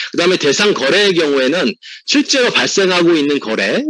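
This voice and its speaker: Here a man speaks at a high pitch and a fairly quick pace. The sound is dry and close, with no echo. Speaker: tax accountant. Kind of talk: webinar presentation. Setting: online webinar. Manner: fast.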